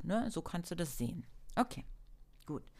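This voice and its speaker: A woman's medium-pitched voice, with ordinary pitch variation, comes through on a very clean recording against a silent background. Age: 40s. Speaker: self-help podcast host. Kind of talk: solo self-help talk. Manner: animated.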